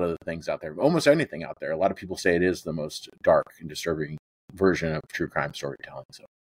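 On a very clean recording with a silent background, a man with an American accent sounds dry and close, with no echo. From California, US. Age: 30s. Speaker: professional wrestler and true crime podcaster. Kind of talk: casual interview chat.

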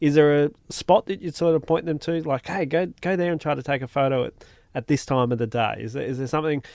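A man's fairly high voice at a very fast pace. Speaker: podcast host. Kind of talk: casual interview chat.

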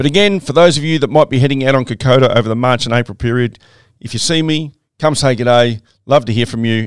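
A man with an Australian accent talks very fast with ordinary pitch variation in a very clean recording with a silent background. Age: 50s. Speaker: podcast host, former soldier and trek leader. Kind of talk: casual monologue.

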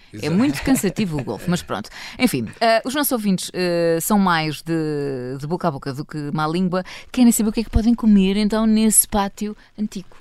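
On a very clean recording with a silent background, a woman of medium pitch speaks at a fairly quick pace with very wide pitch swings. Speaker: radio host. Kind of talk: casual chat. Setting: studio.

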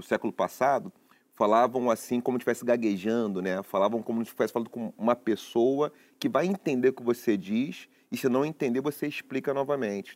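Here is an ordinary speaking voice, a man at medium pitch. His words come fairly quickly, with pitch moving in a usual way. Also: dry, close sound with no echo. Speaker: philosopher and professor. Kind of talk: talk show discussion.

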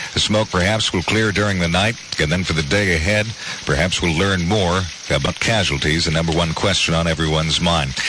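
The speaker has a solemn tone and a fairly quick pace, with ordinary pitch variation and very even loudness. Noticeable background noise runs underneath. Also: man, very deep, low pitch for a man. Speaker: radio news anchor. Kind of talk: radio news bulletin. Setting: studio. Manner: measured, solemn anchor delivery.

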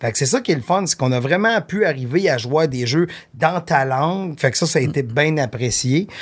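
A man speaks in a Quebec accent at a fairly high pitch. His voice is somewhat breathy and his pace fairly quick. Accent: Québécois French. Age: 50s. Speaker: talent manager. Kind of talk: casual chat.

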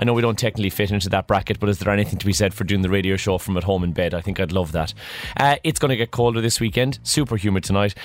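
A man talks very fast over noticeable background noise. His voice sits fairly low, and its pitch varies in an ordinary way. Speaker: radio breakfast show host. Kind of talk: casual chat.

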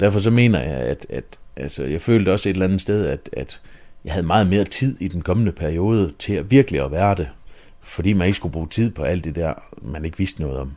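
A man speaks at a very deep, low pitch with a dark, mellow tone and vocal fry. His intonation is lively. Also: fairly quick pace. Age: 30s. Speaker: mayor and local politician. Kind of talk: interview.

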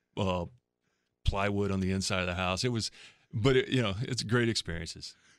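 This is an unremarkable speaking voice with an American accent. Its pitch varies in an ordinary way. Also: man, fairly low pitch for a man, fairly quick pace, very clean recording, silent background. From California. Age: 50s. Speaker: former pro baseball pitcher, pitching coach. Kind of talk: radio interview, faith testimony.

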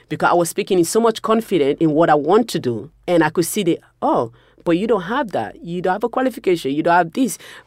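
A woman with a fairly low pitch talks at a very fast pace, making very wide pitch swings. The recording is very clean, with a silent background. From Sierra Leone. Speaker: war survivor. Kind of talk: interview.

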